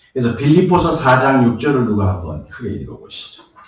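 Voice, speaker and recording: Somewhat breathy, a man talks at a moderate pace with very wide pitch swings. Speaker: pastor. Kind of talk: sermon.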